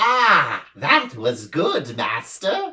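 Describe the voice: A bellowing, put-on character voice pitched in the middle range.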